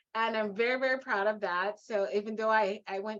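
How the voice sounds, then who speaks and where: Speaking in a Guyanese accent, a woman with a fairly high pitch keeps an animated tone at a moderate pace. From Guyana, West Coast Demerara. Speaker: leadership and mindset coach. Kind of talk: interview.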